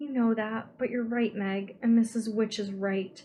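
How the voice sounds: A natural voice reads with intonation that stays fairly even.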